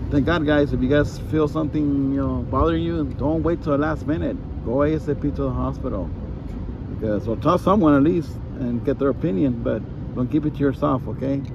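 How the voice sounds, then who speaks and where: Talking at a fairly quick pace, a man comes through with a dry sound with no echo over noticeable background noise. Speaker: toy shop owner vlogger. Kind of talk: casual vlog chat. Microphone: phone near.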